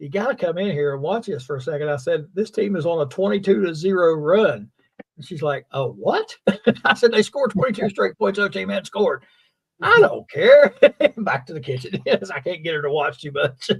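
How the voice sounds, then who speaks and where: The speaker has an American accent and talks at a fairly quick pace. Pitch swings are very wide, and loudness swings are big. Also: man, high pitch for a man. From West Virginia, Fayette County. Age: 60s. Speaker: sports show host. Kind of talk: casual chat. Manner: halting, many fillers.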